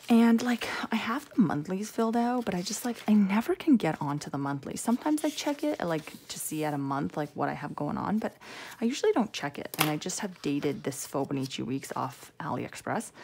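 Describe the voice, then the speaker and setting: A soft-spoken woman talks at a fairly quick pace. Her pitch swings very widely. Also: medium pitch for a woman. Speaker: planner video creator. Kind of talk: casual tutorial. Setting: temporary room at home. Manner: soft-spoken, quiet; chatty, rambling with fillers.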